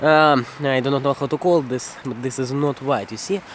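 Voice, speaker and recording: A man in a Russian accent, fairly high in pitch and fairly even in intonation, at a moderate pace over noticeable background noise. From Russia, Moscow region. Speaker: vlogger. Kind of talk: casual walking vlog. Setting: outdoors at night, walking. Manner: halting, self-correcting.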